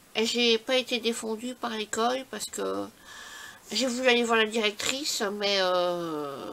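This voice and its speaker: A woman talks at a very slow pace in a fairly high pitch, with ordinary pitch variation. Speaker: scrapbooking YouTuber. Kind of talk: casual vlog talk. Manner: halting.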